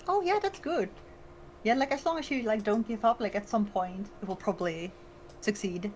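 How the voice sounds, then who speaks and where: With lively intonation and a fairly high pitch, a woman speaks at a moderate pace amid noticeable background noise. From Netherlands. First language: Dutch. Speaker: VTuber streamer. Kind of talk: casual chat. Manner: hesitant, many fillers.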